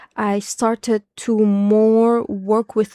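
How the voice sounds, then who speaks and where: A woman with a non-native accent speaks at a medium pitch in a dark, mellow tone with fairly even intonation. The recording is very clean and dry, close with no echo, over a silent background. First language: not English. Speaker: spiritual content creator. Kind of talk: casual monologue. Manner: halting, many fillers and restarts.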